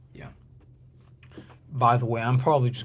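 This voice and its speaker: In a room with audible echo, a man speaks with a somewhat breathy voice and fairly even intonation. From Guatemala. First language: Spanish. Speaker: livestreamer. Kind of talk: casual livestream chat. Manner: halting, many fillers and restarts.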